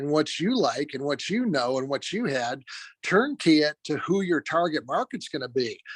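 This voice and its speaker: Nothing is heard in the silent background of this very clean recording. The delivery keeps a moderate pace. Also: man. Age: 60s. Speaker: real estate trainer. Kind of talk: lecture. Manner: many filler words and hesitations.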